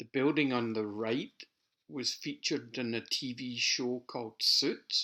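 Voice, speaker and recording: In a Scottish accent, a bright, sharp voice speaks very slowly with fairly even intonation. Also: man. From Scotland, near Glasgow. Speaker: amateur photographer. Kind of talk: narrated photo slideshow. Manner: casual.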